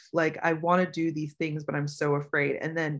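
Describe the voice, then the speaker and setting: A woman with an unremarkable speaking voice talks at a moderate pace over a quiet background. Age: 30s. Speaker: personal growth coach. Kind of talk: casual chat. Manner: filler-heavy, frequent 'like'.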